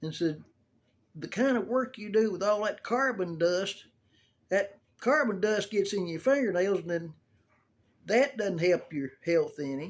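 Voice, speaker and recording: With lively intonation and long, frequent pauses, a man speaks at a high pitch for his sex. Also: fairly slow pace. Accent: Southern US. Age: 70s. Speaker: video blogger showing a grooming tip. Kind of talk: casual tutorial. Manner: folksy, rambling storytelling.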